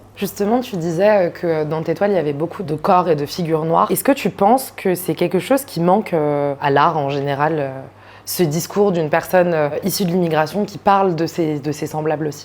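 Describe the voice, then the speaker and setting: A woman's fairly low voice at a moderate pace, with ordinary pitch variation and a plain, everyday voice. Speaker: interviewer. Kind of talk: interview questions.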